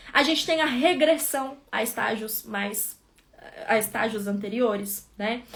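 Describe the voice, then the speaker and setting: Lively intonation in a woman's fairly high voice, a normal speaking voice, at a fairly slow pace. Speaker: psychologist. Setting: live stream.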